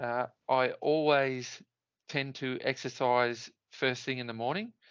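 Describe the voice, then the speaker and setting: At a fairly slow pace, a man with an Australian accent talks with fairly even intonation. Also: medium pitch for a man. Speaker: Ironman triathlete. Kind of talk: interview answer. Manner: chatty, funny.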